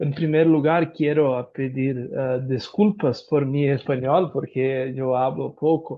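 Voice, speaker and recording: A man with a Brazilian accent, medium in pitch, very slow, with fairly even intonation. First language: Portuguese (speaking Spanish). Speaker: lawyer and professor. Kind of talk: conference talk. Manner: halting.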